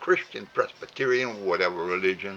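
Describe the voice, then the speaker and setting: A man talks with a strong Cajun accent at a moderate pace. Noticeable background noise runs behind him. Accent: heavy Cajun. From Louisiana (Cajun). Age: 80s+. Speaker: elderly vlogger. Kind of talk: heartfelt monologue. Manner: halting, many fillers and repeats; rambling.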